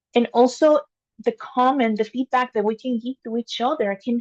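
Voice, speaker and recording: This woman has a non-native accent and a high pitch. The sound is dry and close, with no echo. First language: not English. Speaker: engineer and amateur public speaker. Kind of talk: practice speech to camera. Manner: unscripted, with filler words.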